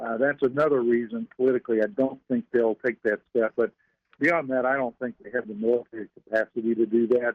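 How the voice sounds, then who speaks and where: Fairly quick speech in a Southern US accent, with fairly even intonation. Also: man, medium pitch for a man. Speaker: financial strategist. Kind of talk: radio interview.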